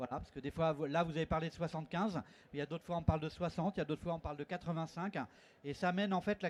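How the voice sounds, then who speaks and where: Very fast and high-pitched, a man talks with ordinary pitch variation in a dry, close sound with no echo. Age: 60s. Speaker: conference panelist, network representative. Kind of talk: conference panel talk. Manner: hesitant, with many fillers.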